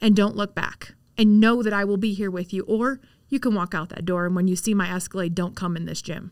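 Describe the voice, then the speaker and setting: Here is a woman with a plain, everyday voice at medium pitch. She speaks at a fairly quick pace with fairly even intonation. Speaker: real estate agent. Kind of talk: interview.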